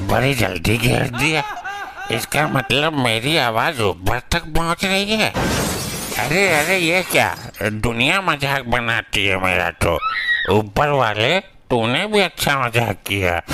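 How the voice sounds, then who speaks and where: Using a put-on character voice, a man speaks at a very slow pace and a medium pitch over clear background noise. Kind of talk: comic overacting. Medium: comedy sketch. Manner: rough, crude, slangy.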